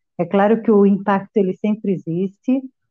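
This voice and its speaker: A woman with an ordinary speaking voice at a fairly slow pace, with fairly even intonation. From Brazil. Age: 50s. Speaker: interview guest, migrant. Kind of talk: interview.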